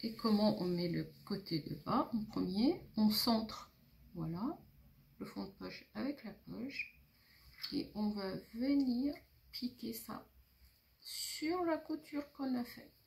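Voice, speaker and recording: A woman speaks at a very slow pace with long, frequent pauses, her fairly high voice somewhat breathy. Her pitch swings very widely. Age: 60s. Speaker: seamstress. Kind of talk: tutorial.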